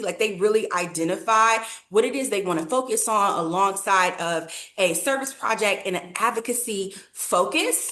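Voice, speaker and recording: Her intonation is lively as a woman talks at medium pitch and a moderate pace. Noticeable background noise is present. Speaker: nonprofit program leader. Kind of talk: webinar presentation.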